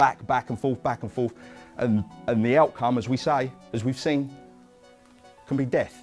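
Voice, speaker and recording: Music plays behind a man speaking at a medium pitch. He leaves long, frequent pauses. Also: fairly even intonation, moderate pace. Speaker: workshop presenter and bereaved uncle campaigning against violence. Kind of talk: educational workshop talk.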